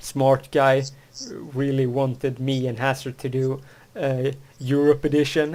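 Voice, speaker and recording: A man's fairly slow delivery with monotone, flat intonation. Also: medium pitch for a man. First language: Swedish. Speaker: podcast host. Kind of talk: casual chat. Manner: halting, many false starts.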